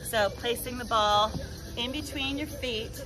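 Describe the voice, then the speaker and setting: Music sounds clearly behind the voice. The speaker is female. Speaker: fitness instructor. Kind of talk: workout instruction with counting. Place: garden.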